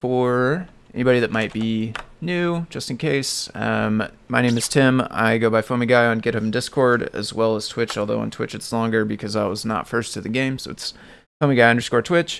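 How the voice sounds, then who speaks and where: Ordinary pitch variation and a moderate pace mark a plain, everyday voice. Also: man, medium pitch for a man. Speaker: live-coding streamer, software developer. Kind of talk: casual live stream tutorial.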